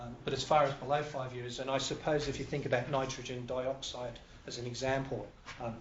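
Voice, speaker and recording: Over noticeable background noise and audible room echo, a man of medium pitch talks at a fairly quick pace in a flat monotone. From Canada. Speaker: industrial hygienist. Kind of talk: lecture.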